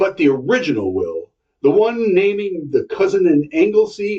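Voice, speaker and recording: At a moderate pace, a man performs a put-on character voice pitched high. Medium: read story.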